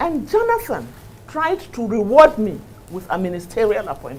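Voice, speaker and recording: Over music in the background, a woman with a Northern Nigerian accent talks at a moderate pace with very wide pitch swings. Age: 60s. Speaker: politician. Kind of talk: interview. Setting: TV studio. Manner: animated.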